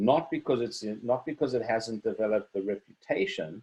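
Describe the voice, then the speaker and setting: A man with a South African accent, dark and mellow in tone, at a moderate pace. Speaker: wine seller. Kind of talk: online wine tasting presentation.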